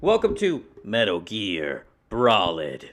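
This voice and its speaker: The speaker uses a put-on character voice and moves at a very slow pace. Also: man, medium pitch for a man. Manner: putting on a voice.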